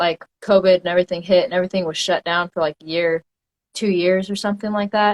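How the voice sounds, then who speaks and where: A fairly low-pitched woman with an American accent, monotone and flat, in a dry, close sound with no echo. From Oklahoma, Tulsa area. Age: 20s. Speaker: amateur MMA fighter. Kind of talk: interview. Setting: live video interview.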